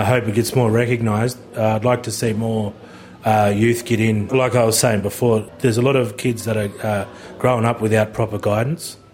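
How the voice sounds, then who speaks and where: Over noticeable background noise, a man with an Australian accent talks at a fairly quick pace with fairly even intonation. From Batemans Bay, New South Wales South Coast. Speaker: boxing trainer. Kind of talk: interview monologue.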